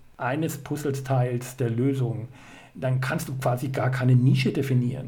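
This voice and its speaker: A man's dark, mellow, somewhat breathy voice at medium pitch and a fairly slow pace, with audible room echo. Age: 40s. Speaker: life coach. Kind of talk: interview. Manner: halting.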